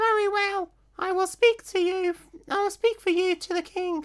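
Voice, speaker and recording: A woman puts on a character voice at an extremely high pitch. Her pace is moderate. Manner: silly.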